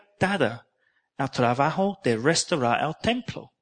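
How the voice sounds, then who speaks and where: Talking very slowly, a man uses lively intonation. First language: English (speaking Spanish). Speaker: preacher. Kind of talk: sermon. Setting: church. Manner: halting.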